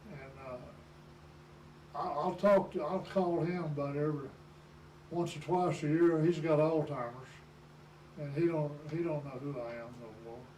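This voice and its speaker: In a room with audible echo and noticeable background noise, a man with a Southern US accent talks at a fairly slow pace and a fairly high pitch, with ordinary pitch variation and big swings in loudness. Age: 80s+. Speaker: war veteran. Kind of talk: oral history interview. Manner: halting.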